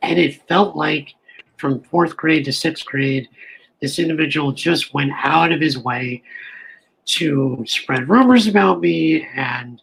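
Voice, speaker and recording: Fairly high in pitch, a man speaks at a fairly slow pace. His is an unremarkable speaking voice. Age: 40s. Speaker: panelist with cleft lip and palate. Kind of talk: personal testimony.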